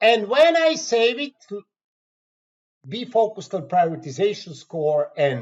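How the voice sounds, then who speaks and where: The speaker talks at a fairly slow pace with a Croatian accent. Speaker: software trainer. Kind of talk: tutorial. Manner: halting.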